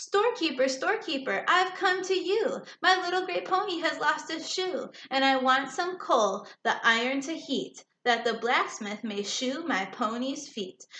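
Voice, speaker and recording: A put-on character voice at a moderate pace. Hardly any pauses break the delivery. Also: woman, high pitch for a woman. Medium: read story.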